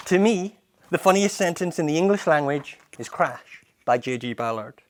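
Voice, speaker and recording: Speaking with a Scottish accent, a man uses lively intonation at a moderate pace. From Edinburgh, Scotland. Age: 30s. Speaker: poet and spoken word performer. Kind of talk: spoken word poetry performance.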